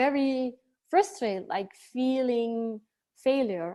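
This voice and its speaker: A woman talks at a very slow pace. She has a Dutch accent. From Belgium, Antwerp. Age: 30s. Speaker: life coach. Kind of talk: interview. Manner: halting.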